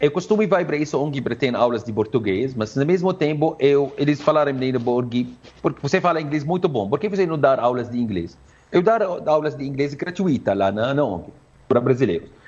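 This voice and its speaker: A man speaks with an Arabic accent. His pitch is fairly high and his intonation lively. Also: moderate pace. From Syria. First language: Arabic (speaking Portuguese). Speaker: Arabic language teacher. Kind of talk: interview. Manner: halting.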